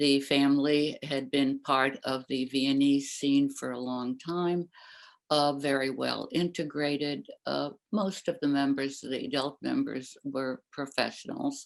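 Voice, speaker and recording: A woman with a very deep, low voice, monotone, flat intonation and a fairly slow pace. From Austria, Vienna. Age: 80s+. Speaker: Holocaust survivor. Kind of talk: testimony. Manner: hesitant, many fillers.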